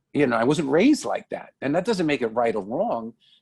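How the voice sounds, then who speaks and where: Fairly high male voice in a New York accent, dry and close with no echo, in a very clean recording with a silent background. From New York, the Bronx. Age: 60s. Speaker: comedian and radio host. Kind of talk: interview. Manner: halting, many fillers and repeats.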